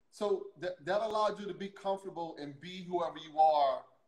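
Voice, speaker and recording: A man with an American accent and fairly even intonation, in a quiet background with audible room echo. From US South (Louisiana). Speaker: interview show host. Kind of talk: casual interview conversation. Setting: video call livestream. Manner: halting, repeats words. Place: home room.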